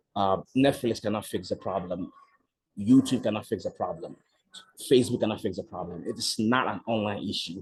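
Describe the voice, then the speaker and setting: The speaker is a man at a medium pitch. His voice is somewhat breathy. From Ghana. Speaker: nonprofit founder. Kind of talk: radio interview.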